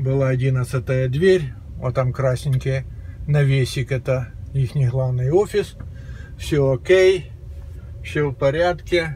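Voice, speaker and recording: A man's very slow speech with long, frequent pauses and ordinary pitch variation, over light background noise. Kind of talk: casual vlog chat. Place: car. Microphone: phone near.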